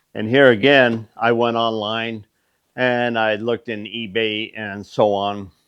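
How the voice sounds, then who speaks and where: A man speaks at a fairly slow pace in a medium pitch, his intonation flat and monotone. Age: 60s. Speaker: machinist and shop owner. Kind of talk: casual shop talk video. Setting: workshop. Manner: casual with fillers and hesitations.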